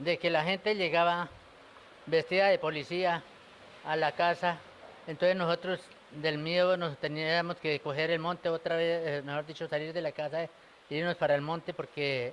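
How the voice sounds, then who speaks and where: A man's high-pitched voice in a monotone, flat intonation. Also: moderate pace. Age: 60s. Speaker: elderly witness of the war. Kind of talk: interview testimony. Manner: halting.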